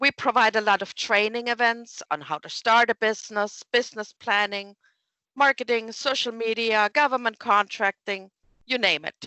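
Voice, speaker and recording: Her pitch fairly high and its variation ordinary, a woman with a German accent speaks at a moderate pace. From Germany. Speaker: small business development director. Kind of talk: interview.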